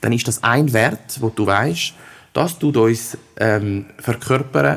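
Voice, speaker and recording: Lively intonation marks this man's medium-pitched voice. He sounds somewhat breathy. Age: 30s. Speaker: head of recruiting and employer branding. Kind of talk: interview.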